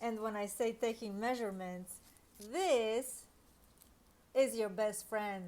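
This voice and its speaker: Speaking very slowly with long, frequent pauses, a woman with a non-native accent uses a fairly high pitch and ordinary pitch variation. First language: not English. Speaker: online reseller and tutorial creator. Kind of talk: tutorial. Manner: hesitant, with fillers.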